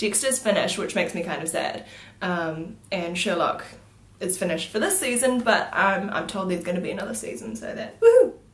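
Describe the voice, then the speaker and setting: A woman's fairly high voice in a New Zealand accent, at a moderate pace with ordinary pitch variation, amid audible room echo and noticeable background noise. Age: 20s. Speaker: beauty vlogger. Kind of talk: casual vlog Q&A. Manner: hesitant, many fillers.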